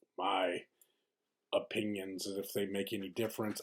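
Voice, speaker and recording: A soft-spoken man talks at a moderate pace in a fairly low pitch. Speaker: video diary vlogger. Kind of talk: casual vlog monologue. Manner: halting, many fillers.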